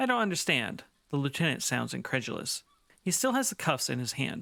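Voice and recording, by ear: Text read aloud in a natural voice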